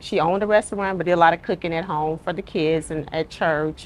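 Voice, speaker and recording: A woman speaks very fast in an Arkansas accent. Her pitch is fairly low and her intonation fairly even. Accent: Southern US (Arkansas). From US South, Little Rock, Arkansas. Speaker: restaurant co-owner. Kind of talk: casual interview.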